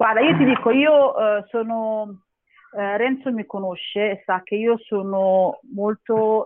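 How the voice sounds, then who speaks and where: Her pace is very slow. This woman speaks at a fairly high pitch with ordinary pitch variation. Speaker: mother of young children, show participant. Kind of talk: casual chat.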